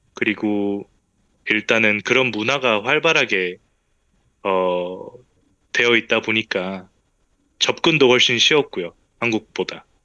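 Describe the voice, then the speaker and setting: A man's fairly low voice at a very slow pace, with ordinary pitch variation and long, frequent pauses. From South Korea, abroad from age 13. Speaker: interviewee, engineering graduate. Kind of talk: interview.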